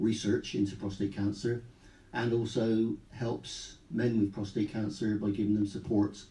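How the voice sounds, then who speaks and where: Slowly and with fairly even intonation, a man speaks in a somewhat breathy voice with a dark, mellow tone. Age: 60s. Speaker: retired police officer and cancer patient. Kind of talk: radio interview. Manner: halting.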